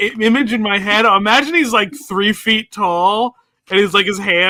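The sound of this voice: An unforced reading voice. The background is quiet.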